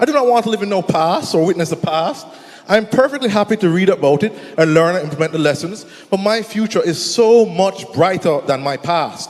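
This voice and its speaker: There is noticeable background noise behind the speaker. He is a man with a high pitch. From Jamaica. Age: 20s. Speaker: entrepreneur, conference speaker. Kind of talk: conference presentation. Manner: fast.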